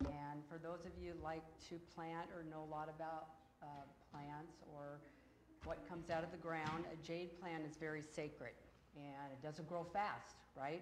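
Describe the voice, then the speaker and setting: Audible room echo carries the fairly slow speech of a woman with an American accent and a very deep, low pitch. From Oregon, Portland area. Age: 50s. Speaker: former school board member. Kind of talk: public comment at meeting. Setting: board meeting room with audience. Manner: loud.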